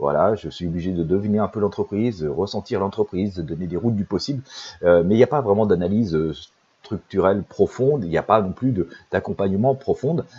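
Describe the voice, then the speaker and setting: A man talks at a fairly quick pace with a fairly low pitch. His pitch variation is ordinary. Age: 50s. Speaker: intuitive life coach and psychic. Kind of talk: promotional monologue. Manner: halting, many fillers.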